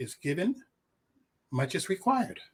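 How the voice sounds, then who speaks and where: Here a man talks at a moderate pace. His voice is somewhat breathy. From Liberia. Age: 60s. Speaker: diplomat and commentary writer. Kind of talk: interview. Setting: studio.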